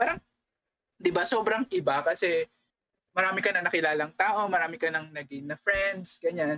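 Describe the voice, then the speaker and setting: The bright, sharp voice moves at a moderate pace with ordinary pitch variation, and the sound is dry and close with no echo. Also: woman, fairly low pitch for a woman. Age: 20s. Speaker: podcast co-host. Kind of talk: casual chat.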